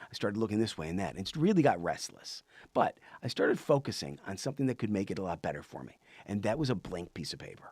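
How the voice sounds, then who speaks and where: A man talks at a very fast pace with very wide pitch swings and vocal fry. The recording is very clean, with a silent background. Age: 60s. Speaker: podcast host. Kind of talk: casual monologue. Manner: halting, many fillers and restarts.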